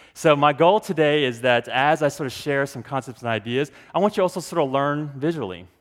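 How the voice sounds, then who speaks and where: A man's plain, everyday voice, lively in intonation, at a moderate pace. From Texas, Dallas; Korean immigrant parents. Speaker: pastor, conference speaker. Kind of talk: conference talk. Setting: stage with audience.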